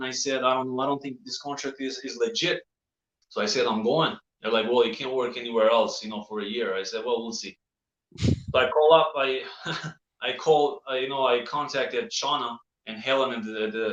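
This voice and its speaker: With a bright, sharp tone, the speaker keeps a moderate pace and ordinary pitch variation. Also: man. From Albania. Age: 30s. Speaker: actor. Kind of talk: interview. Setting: live show. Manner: halting.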